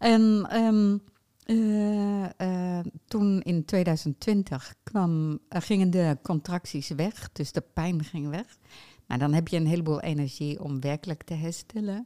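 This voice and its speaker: A woman with a fairly low pitch and a dark, mellow tone speaks at a very slow pace, recorded dry and close with no echo. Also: ordinary pitch variation, very clean recording, silent background. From Netherlands, Utrecht. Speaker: t-shirt printer and foundation founder. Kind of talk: casual interview. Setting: podcast recording. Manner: halting, many fillers.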